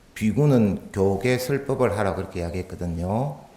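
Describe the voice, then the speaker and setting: A man with a Gyeongsang accent amid audible room echo. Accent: Gyeongsang dialect, using it freely today. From Busan, Gyeongsang region, South Korea. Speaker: Buddhist monk giving a dharma talk. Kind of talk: sermon. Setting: temple hall with audience. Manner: conversational, with rhetorical questions.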